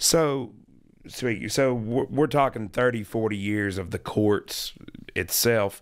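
With an American accent, a man speaks very slowly at a medium pitch on a very clean recording with a silent background. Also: ordinary pitch variation. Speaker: podcast co-host, house builder. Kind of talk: casual interview chat. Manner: excited.

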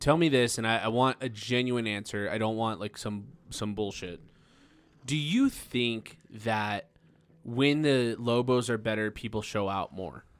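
A man speaks in a normal speaking voice with an American accent. His medium pitch shows ordinary variation at a fairly slow pace. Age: 20s. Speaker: podcast host, comedian. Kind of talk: casual chat.

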